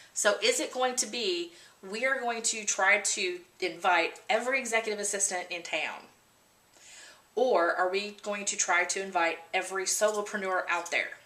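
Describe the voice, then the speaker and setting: A woman with a normal speaking voice talks at medium pitch and a moderate pace, using ordinary pitch variation. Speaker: trainer for association membership directors. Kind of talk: video tutorial.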